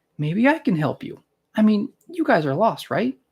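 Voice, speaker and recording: A man's put-on character voice, high in pitch, with very wide pitch swings and a moderate pace. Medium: read story.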